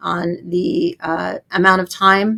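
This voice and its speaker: The recording is very clean, with a silent background. A woman talks in a bright, sharp tone. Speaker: family law attorney. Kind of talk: interview, legal explanation. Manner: halting, many fillers and repeats.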